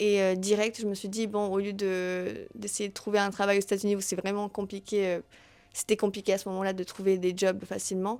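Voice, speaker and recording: A woman talks at a moderate pace with hardly any pauses, her pitch medium. Her intonation is monotone and flat, while her loudness swings widely. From Tahiti, Cuba and New York. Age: 20s. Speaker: podcast host. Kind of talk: solo podcast self-introduction. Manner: hesitant, many fillers.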